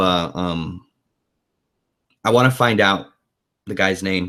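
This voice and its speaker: The speaker uses a put-on character voice with a raspy edge. The delivery moves at a fairly slow pace. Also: man. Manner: halting, hesitant.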